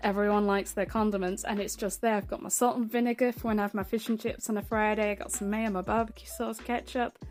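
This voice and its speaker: With music playing behind her, a woman speaks at a fairly quick pace. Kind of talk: casual talk to camera.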